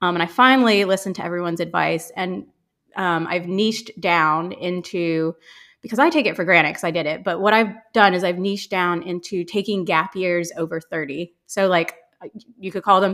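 Delivered at a fairly quick pace with an American accent, this is an ordinary speaking voice with ordinary pitch variation on a very clean recording with a silent background. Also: woman. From US Midwest, Ohio. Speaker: travel content creator. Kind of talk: casual chat.

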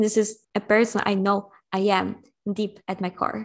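A woman speaks in a monotone with flat intonation and a Polish accent. Her pitch sits in the medium range. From Poland. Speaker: human design coach. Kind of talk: casual chat.

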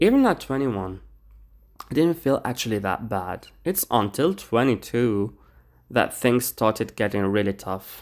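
On a very clean recording with a silent background, a man speaks in an ordinary speaking voice. His pitch is medium, his intonation lively and his pace fairly slow. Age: 20s. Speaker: podcast host. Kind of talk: casual solo monologue.

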